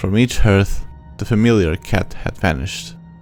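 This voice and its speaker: Someone with a non-native accent speaks while music plays in the background. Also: man. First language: not English. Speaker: amateur audiobook reader. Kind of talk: horror short story audiobook reading.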